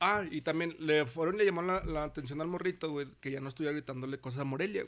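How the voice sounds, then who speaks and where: Talking at a very fast pace, a man uses ordinary pitch variation. His voice is fairly high. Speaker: teacher and podcast co-host. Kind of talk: casual chat.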